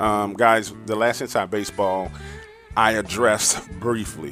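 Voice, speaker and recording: With music in the background, a man talks in an American accent. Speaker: horror story narrator. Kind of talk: casual talk to camera.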